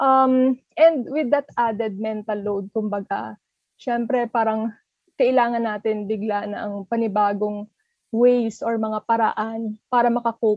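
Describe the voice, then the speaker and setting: A woman speaks at a fairly slow pace with fairly even intonation. Her ordinary speaking voice is fairly high in pitch. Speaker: relationship editor, co-host. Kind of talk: podcast chat.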